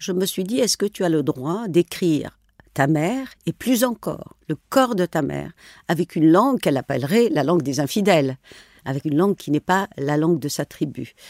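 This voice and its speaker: In a Tunisian accent, a woman speaks at a moderate pace in a fairly low pitch with very wide pitch swings, on a very clean recording with a silent background and a dry, close sound with no echo. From rural northwestern Tunisia, near Algerian border. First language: Tunisian Arabic (speaking French). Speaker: novelist and journalist. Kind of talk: interview. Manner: halting, with repetitions.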